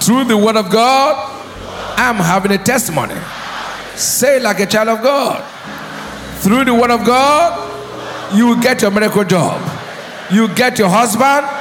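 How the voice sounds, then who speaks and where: Over music in the background, a man with an extremely high pitch talks in an animated tone at a fairly slow pace, with long, frequent pauses, ordinary pitch variation and very even loudness. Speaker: preacher. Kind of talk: sermon, preacher in full flow, call-and-response with congregation.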